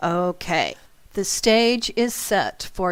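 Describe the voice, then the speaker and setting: On a very clean recording with a silent background, a woman talks at medium pitch with ordinary pitch variation. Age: 60s. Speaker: internet radio host and psychic teacher. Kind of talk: radio talk, storytelling with asides. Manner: conversational with fillers.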